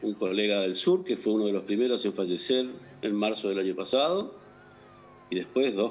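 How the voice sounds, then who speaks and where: A man's normal speaking voice, fairly low in pitch, with ordinary pitch variation. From Argentina, Entre Ríos. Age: 60s. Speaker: doctor. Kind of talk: interview.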